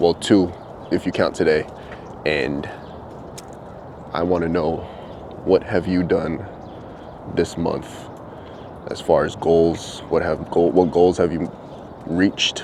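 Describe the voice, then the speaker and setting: A man speaks very slowly in a very deep, low voice with monotone, flat intonation. He leaves long, frequent pauses, and there is noticeable background noise. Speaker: vlogger. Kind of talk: casual vlog monologue. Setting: outdoors walking dogs. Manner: soft-spoken.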